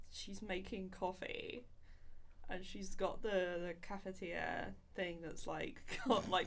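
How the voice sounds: A woman speaks at a slow pace. Her tone is fairly bright.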